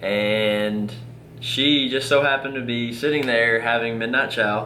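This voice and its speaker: A man's medium-pitched voice at a fairly slow pace, fairly even in intonation, with audible room echo. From Kentucky. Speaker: Marine, half of a dual military couple. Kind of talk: casual chat, couple telling their story.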